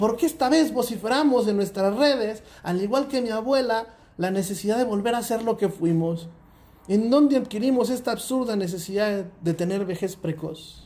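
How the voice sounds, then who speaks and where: A man speaks at a moderate pace with a high pitch and ordinary pitch variation. His tone is dark and mellow. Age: 30s. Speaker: podcast host. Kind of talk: monologue.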